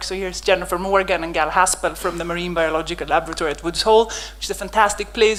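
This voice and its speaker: Noticeable background noise runs under the recording. A woman talks at a very fast pace. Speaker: microscopy researcher, lab head. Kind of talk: conference lecture. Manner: animated.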